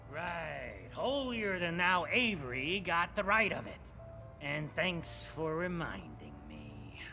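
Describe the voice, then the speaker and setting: A man in a put-on character voice, gruff and fairly slow, over clear background noise. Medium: video game. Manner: gruff, proud.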